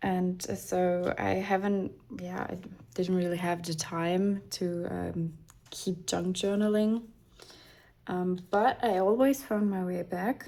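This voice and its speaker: In a non-native accent, the voice has a dark, mellow tone and fairly even intonation at a very slow pace. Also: woman, medium pitch for a woman. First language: not English. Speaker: craft youtuber. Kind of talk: casual chat while crafting. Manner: halting, many fillers.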